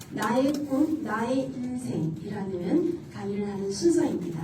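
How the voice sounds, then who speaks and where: High-pitched and very slow, a woman's voice moves in very wide pitch swings. Audible room echo and noticeable background noise surround her. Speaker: school employee and elder-care center operator. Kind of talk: motivational talk to an audience. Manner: casual, interactive.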